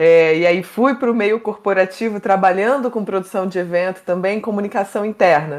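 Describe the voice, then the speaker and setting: A woman with a Carioca accent, moderate pace, ordinary pitch variation. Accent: carioca (Rio) accent, noticeable. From Brazil, Rio de Janeiro. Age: 30s. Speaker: mental health communicator, psychoanalysis. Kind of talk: podcast interview.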